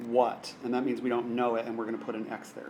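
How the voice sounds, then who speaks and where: In a room with audible echo, a man speaks at a fairly quick pace and a medium pitch. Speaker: math teacher. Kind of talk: lesson.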